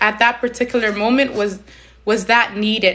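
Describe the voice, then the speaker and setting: A woman speaks in a passionate tone at a fairly high pitch. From Somalia, raised in Canada from age six. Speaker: community advocate, live stream host. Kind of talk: live stream talk. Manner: loud; emphatic, passionate.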